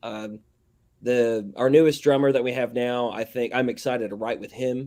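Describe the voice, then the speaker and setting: A man with a strong Southern US accent, medium pitch and a dark, mellow tone, flat monotone intonation, moderate pace, big swings in loudness. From US South. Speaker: metal band vocalist. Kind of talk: interview. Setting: live broadcast show. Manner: casual, halting.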